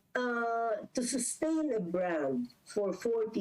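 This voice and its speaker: A woman at a very slow pace, pitch swinging very widely, with noticeable background noise. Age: 70s. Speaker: business executive. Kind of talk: interview.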